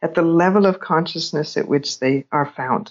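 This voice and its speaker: A woman with an American accent speaks at a fairly low pitch and a moderate pace. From California. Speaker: psychotherapist. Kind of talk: interview. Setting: remote call. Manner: hesitant, with many fillers.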